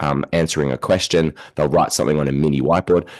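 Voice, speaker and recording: Speaking at a very fast pace, a man with an Australian accent uses a very deep, low pitch and a monotone, flat intonation. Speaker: education researcher and university lecturer. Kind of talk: podcast interview.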